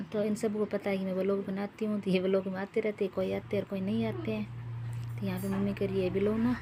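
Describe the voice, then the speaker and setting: A woman at medium pitch talks with very wide pitch swings and hardly any pauses. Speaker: vlogger. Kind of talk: casual vlog narration.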